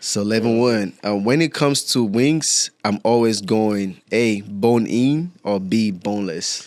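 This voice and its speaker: Speaking with a Nigerian accent, a man has a fairly low pitch and ordinary pitch variation. His pace is very slow, with hardly any pauses. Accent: Nigerian (Yoruba) English. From Nigeria, Ondo State. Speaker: student athlete. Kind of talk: podcast interview.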